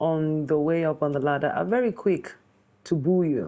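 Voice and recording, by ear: A woman talks at a moderate pace. Her tone is slightly mellow.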